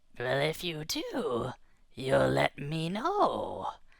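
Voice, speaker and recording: A raspy put-on character voice drags along at a very slow pace. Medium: read story. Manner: blunt, menacing.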